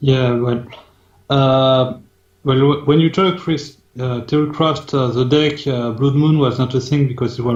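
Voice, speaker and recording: A man with a French accent, medium pitch and fairly even intonation. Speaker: team manager. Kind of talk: casual discussion.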